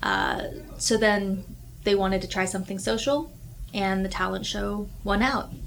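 A woman's moderate-speed speech carries audible echo from the room. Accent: American. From Texas (Houston). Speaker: high school teacher. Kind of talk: casual chat. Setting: art studio.

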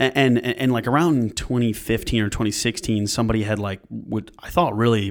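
A man with a normal speaking voice speaks in an American accent at medium pitch. He moves at a fairly quick pace with ordinary pitch variation. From upstate New York. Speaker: video producer and business owner. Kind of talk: casual interview.

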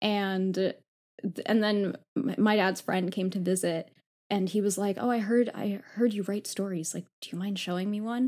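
At a moderate pace, a woman speaks with a normal speaking voice, a medium pitch and fairly even intonation. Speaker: law fellow and author. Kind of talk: casual chat.

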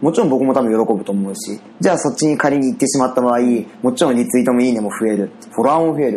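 Over noticeable background noise, a man speaks very fast. His pitch is medium, with ordinary variation. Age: 30s. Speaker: web company owner. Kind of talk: casual chat.

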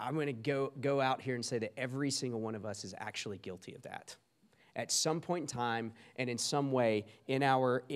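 On a very clean recording with a silent background, a man speaks quite quickly in a Southern US accent at medium pitch. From US South, small-town South Carolina. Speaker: guest preacher. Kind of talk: sermon.

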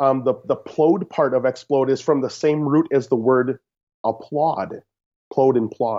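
A man talks at a fairly slow pace in a medium pitch, with fairly even intonation and very even loudness. It is a normal speaking voice. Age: 30s. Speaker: podcast guest, host's brother. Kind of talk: casual chat. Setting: Skype call.

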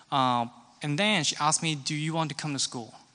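Speaking with a Hong Kong accent, a man uses a fairly high pitch and a bright, sharp tone with ordinary pitch variation. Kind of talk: testimony. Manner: halting.

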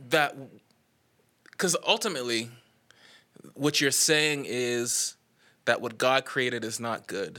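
A man speaks at a very slow pace with long, frequent pauses. His tone is bright and sharp, at a medium pitch with ordinary pitch variation. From Bahamas, Nassau. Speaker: songwriter. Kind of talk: casual chat. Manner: laughs often.

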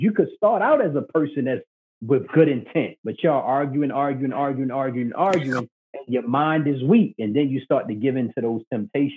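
Delivered in a normal speaking voice with an American accent. The pace is moderate. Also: man. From Baltimore, Maryland. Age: 30s. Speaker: podcast host, guest. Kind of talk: casual chat.

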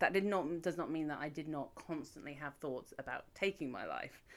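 On a very clean recording with a silent background, a woman with an English accent speaks at a moderate pace with a very deep, low pitch and ordinary pitch variation. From England. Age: 30s. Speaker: podcast co-host. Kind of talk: casual chat.

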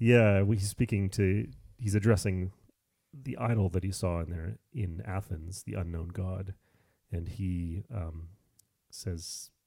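In a very clean recording with a silent background, a man speaks at a fairly slow pace in a very deep, low voice, somewhat breathy, with a dark, mellow tone. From Canada. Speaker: podcast co-host. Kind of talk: casual Bible discussion.

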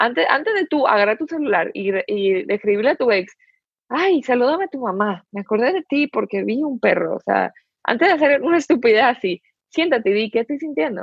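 A woman talks fairly quickly in a high voice whose pitch swings very widely. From Dominican Republic. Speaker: university student. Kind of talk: casual chat. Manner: code-switching Spanish and English.

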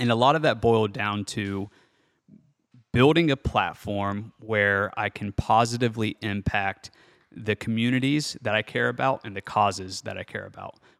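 With a normal speaking voice, a man of fairly low pitch talks at a moderate pace with ordinary pitch variation and big swings in loudness. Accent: American. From central Ohio, small town northwest of Columbus. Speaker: entrepreneur and startup investor. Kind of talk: interview conversation. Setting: in-person at host's property.

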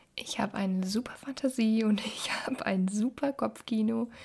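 Somewhat breathy and dark, mellow in tone, a woman speaks at a medium pitch with fairly even intonation. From Germany, Düsseldorf. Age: 20s. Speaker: podcast host. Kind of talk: podcast intro monologue.

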